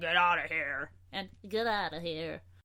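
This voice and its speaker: A woman puts on a character voice. She speaks at a fairly low pitch and a fairly slow pace. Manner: annoyed, demanding.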